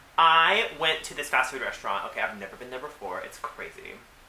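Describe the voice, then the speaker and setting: Noticeable background noise is present. The words come out at a very fast pace. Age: 20s. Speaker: drag performer. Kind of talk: interview.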